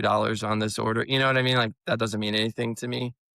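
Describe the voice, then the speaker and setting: A man talks with an American accent. His intonation is monotone and flat. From US Midwest, St. Louis. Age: 30s. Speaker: fragrance decant business owner. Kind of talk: casual interview.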